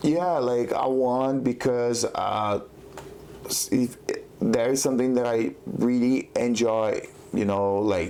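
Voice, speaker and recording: A man talking at a very slow pace amid noticeable background noise. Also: medium pitch for a man, ordinary pitch variation. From Brazil. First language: Portuguese. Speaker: jiu-jitsu competitor. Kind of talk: podcast interview. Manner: halting, many fillers.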